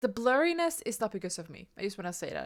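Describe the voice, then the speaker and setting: A woman mumbles at a fairly quick pace. The recording is very clean, and the background is silent. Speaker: vtuber reacting to game trailer. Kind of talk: casual reaction commentary. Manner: mumbling; halting, repeats words.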